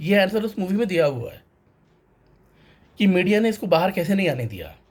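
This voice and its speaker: A man at a moderate pace. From North India, Varanasi. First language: Tamil (speaking Hindi). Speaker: banker sharing a film review. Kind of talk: personal vlog monologue.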